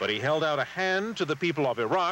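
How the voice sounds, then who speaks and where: Here is an ordinary speaking voice. Its intonation is lively. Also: man. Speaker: TV news anchor. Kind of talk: TV news report.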